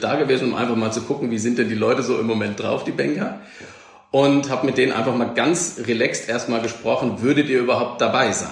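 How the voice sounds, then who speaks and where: Speech at a fairly quick pace with ordinary pitch variation carries audible room echo and noticeable background noise. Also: man. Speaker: event agency owner. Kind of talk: interview.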